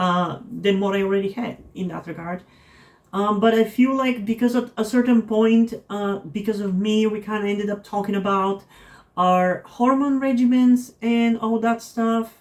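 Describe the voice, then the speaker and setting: A woman talks with a non-native accent at a moderate pace. Her voice is fairly high, with fairly even intonation. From non-English-speaking country. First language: not English. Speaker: vlogger. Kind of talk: personal vlog monologue. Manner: halting, many fillers.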